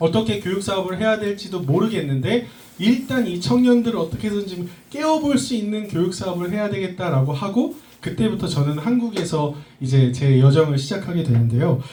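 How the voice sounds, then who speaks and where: A man with a high voice swings very widely in pitch, with noticeable background noise and audible room echo. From Korea, schooled in the US from middle school. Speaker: speaker, education entrepreneur, former actor. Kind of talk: talk to a live audience.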